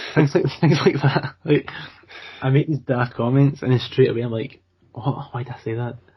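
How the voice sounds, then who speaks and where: A man with a medium pitch and a somewhat breathy voice keeps his intonation fairly even while his loudness swings widely. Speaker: podcast co-host. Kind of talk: casual chat. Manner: fast.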